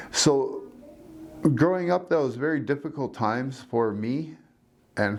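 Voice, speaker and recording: A man talks at a moderate pace in a medium pitch. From Canada, Northwest Territories (First Nation reserve near Hay River). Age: 60s. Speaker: community elder. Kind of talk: personal storytelling interview.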